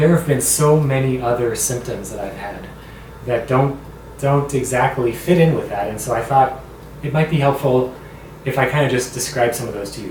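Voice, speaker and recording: Audible room echo and noticeable background noise surround a man's voice. He talks at a fairly quick pace and a medium pitch, with fairly even intonation. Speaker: vlogger with a voice disorder. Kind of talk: personal vlog talk.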